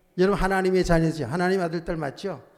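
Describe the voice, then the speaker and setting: This man's voice is loud and pitched high. He sounds animated. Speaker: pastor. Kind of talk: sermon.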